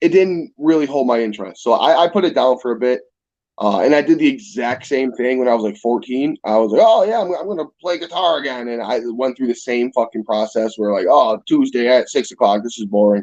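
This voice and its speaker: Speaking fairly quickly in a western New York accent, a man has a medium pitch and lively intonation. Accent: US Northeast (western New York). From Niagara Falls, New York. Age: 20s. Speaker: musician. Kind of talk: casual chat.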